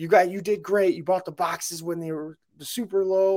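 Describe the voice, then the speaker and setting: The recording is very clean, with a silent background. A man speaks at a moderate pace in a high pitch. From Mexican and Cuban heritage. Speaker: podcast co-host. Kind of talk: casual chat.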